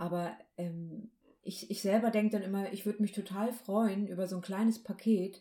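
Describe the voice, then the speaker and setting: A woman with a dark, mellow tone speaks at a moderate pace with ordinary pitch variation. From northern Germany, Baltic coast. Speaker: podcast co-host, hypnosis coach. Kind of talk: casual chat.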